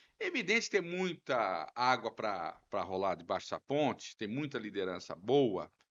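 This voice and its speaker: A man talks at a fairly slow pace with a fairly high pitch and very wide pitch swings. Vocal fry runs through his voice. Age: 60s. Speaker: city councillor, politician. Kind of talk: podcast interview.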